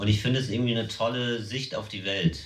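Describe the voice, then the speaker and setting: A man at a medium pitch and fairly quick pace, with ordinary pitch variation and audible room echo. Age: 30s. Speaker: comedian. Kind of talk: casual chat.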